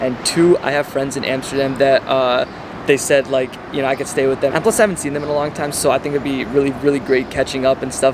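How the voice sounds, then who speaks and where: The delivery is very fast, with fairly even intonation. Noticeable background noise runs underneath. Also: man, fairly high pitch for a man. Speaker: travel vlogger. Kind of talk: vlog to camera. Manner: casual, filler-heavy.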